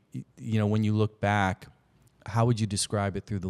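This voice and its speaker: In a very clean recording with a silent background, a man speaks in a fairly low voice with a dry, close sound and no echo. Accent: American. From US Midwest, Granite City, Illinois. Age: 50s. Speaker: podcast host. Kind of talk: casual interview. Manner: halting, many restarts.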